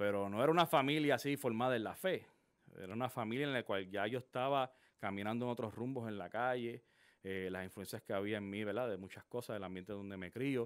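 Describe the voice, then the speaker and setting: At a fairly quick pace, a man talks at medium pitch with ordinary pitch variation over a quiet background. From Puerto Rico (San Juan, Quintana); Puerto Rico. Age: 40s. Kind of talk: testimony. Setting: studio. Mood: earnest, reflective testimony. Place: studio. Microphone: studio mic.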